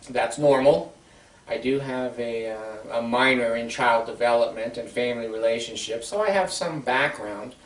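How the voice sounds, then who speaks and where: Medium pitch from a man, ordinary pitch variation, audible room echo and noticeable background noise. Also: moderate pace. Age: 60s. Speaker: counselor and video blogger. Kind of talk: informal talk to camera. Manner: halting, many fillers.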